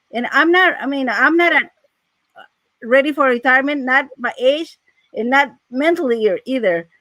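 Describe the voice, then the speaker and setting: In a Mexican accent, a raised, projected voice with a bright, sharp tone moves at a moderate pace with lively intonation and long, frequent pauses. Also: woman, high pitch for a woman. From Mexico. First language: Spanish. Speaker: financial aid adviser. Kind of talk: casual chat.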